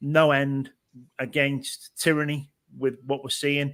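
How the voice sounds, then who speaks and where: Speaking slowly-ish with a British accent, a man delivers fairly high-pitched, bright and sharp words in a flat monotone. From Britain. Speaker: panelist. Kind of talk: panel discussion.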